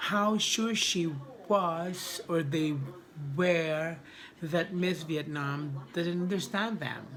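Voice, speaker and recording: A woman with a non-native accent speaks at a very slow pace and fairly low pitch, with ordinary pitch variation, audible room echo and noticeable background noise. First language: not English. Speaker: beauty pageant vlogger. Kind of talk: casual vlog commentary. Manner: halting, many restarts.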